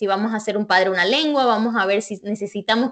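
At a fairly quick pace, a woman speaks in a normal speaking voice with a fairly high pitch and ordinary pitch variation. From Bolivia, Santa Cruz. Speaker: bilingualism expert, psychologist. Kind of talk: interview.

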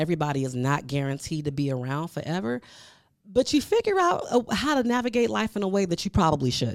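Fairly low in pitch, a woman's animated voice moves at a fairly quick pace with very wide pitch swings. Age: 40s. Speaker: podcast host. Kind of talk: casual monologue.

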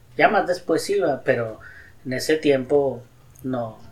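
A man with a fairly high voice talks very slowly. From Mexico, Nuevo León (Guadalupe). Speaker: host's father telling his life story. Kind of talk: life-story interview.

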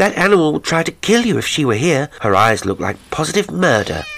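A man puts on a character voice, fairly high-pitched and fairly bright, with vocal fry and big pitch swings. He moves at a fairly quick pace.

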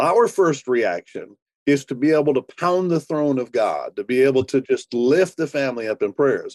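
A plain, everyday voice with lively intonation speaks at a moderate pace, the sound dry and close with no echo. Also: man, fairly high pitch for a man. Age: 60s. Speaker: pastor. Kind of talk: interview.

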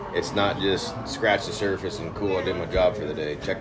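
A fairly quick pace and fairly even intonation, with noticeable background noise. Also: man. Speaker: men's group member. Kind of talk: casual chat. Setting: coffee shop.

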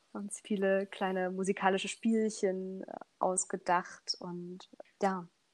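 Speaking at a fairly slow pace, a woman holds a medium pitch with monotone, flat intonation while her loudness swings widely. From Saxony, Germany (Leipzig area). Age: 20s. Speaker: a cappella singer. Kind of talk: casual interview.

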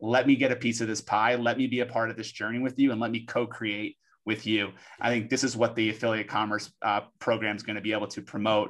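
A man talks at a very fast pace in a medium pitch. The background is quiet. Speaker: podcast co-host, influencer marketing professional. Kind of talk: casual chat. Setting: live audio chat room. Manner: animated.

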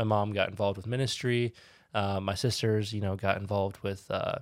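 With a plain, everyday voice, a man speaks fairly quickly at a fairly low pitch with ordinary pitch variation in a very clean recording with a silent background. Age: 20s. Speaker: podcast host. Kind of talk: casual chat.

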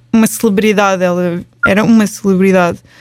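A woman talks at a fairly quick pace in an unremarkable speaking voice. Her intonation stays fairly even. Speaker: podcast host. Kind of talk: casual chat.

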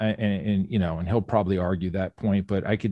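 Here is a man with an American accent and a fairly low pitch, with ordinary pitch variation in an unremarkable speaking voice. The sound is dry and close, with no echo. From Phoenix area, Arizona. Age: 40s. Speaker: gym owner and business coach. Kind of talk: casual chat. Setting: remote call.

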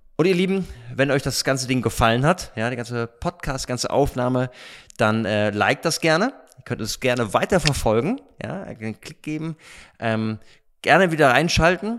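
A man speaks in a plain, everyday voice at medium pitch and a moderate pace. His intonation is lively, and the recording is very clean with a silent background. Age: 40s. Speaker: stand-in podcast host, youth ministry staff. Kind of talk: casual interview. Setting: dining hall at a retreat centre.

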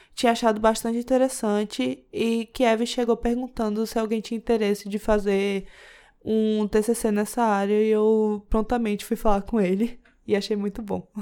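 A woman's fairly high, dark and mellow voice, monotone and flat, at a moderate pace on a very clean recording with a silent background. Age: 20s. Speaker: computer science student. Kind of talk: casual interview.

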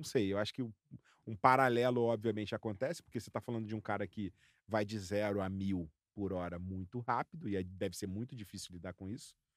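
A man with a normal speaking voice talks at a fairly quick pace and fairly low pitch, with ordinary pitch variation and a dry, close sound with no echo. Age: 40s. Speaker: podcast co-host. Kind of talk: casual chat.

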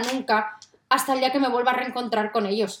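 Animated in tone, a woman talks at a high pitch and a fairly quick pace. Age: 30s. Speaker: podcast host, mother. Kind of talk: casual monologue to listeners.

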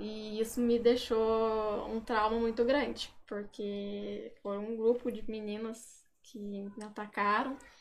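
A woman speaks at a very slow pace with hardly any pauses. Her pitch is fairly high and her intonation monotone and flat. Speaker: social media influencer. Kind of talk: casual chat.

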